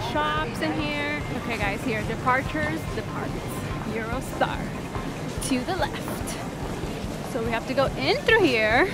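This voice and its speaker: Speech comes at a fairly slow pace with a dry sound and no echo, set against loud music in the background. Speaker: parent vlogger filming family trip. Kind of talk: casual vlog chat. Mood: excited, slightly nervous. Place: station. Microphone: phone near.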